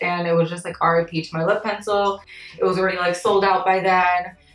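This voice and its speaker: Over music in the background, a woman of medium pitch talks at a fairly quick pace in a monotone, flat intonation. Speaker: beauty YouTuber and freelance makeup artist. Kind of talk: makeup tutorial.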